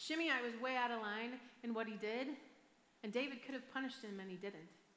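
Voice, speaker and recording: The speaker has an American accent. Pitch varies in an ordinary way. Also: woman. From Michigan, US. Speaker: pastor. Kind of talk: sermon. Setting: church stage with audience.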